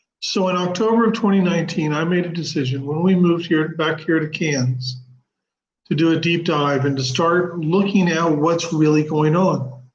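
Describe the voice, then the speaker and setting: A man speaks with a high pitch. The room echo is audible. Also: ordinary pitch variation, moderate pace. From US, Oklahoma. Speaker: spiritual channel host. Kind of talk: live stream monologue. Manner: casual, conversational.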